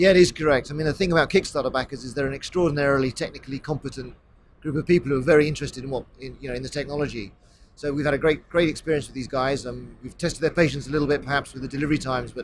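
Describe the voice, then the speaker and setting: A man with a British accent talks at a very fast pace, his pitch fairly high. His intonation stays fairly even, while his loudness swings widely. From England, near London. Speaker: tech company executive. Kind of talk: interview. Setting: trade show.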